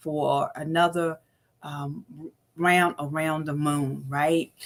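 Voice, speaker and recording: Here a woman is talking. Her pace is very slow. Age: 60s. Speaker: motivational speaker and livestream host. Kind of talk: motivational livestream talk. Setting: live stream. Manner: animated.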